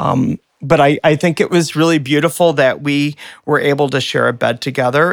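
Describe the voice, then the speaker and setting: Fairly quick speech from a man in a normal speaking voice, pitched fairly high. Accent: American. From Michigan, US (Flint). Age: 50s. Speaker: artist. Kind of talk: casual chat. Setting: office.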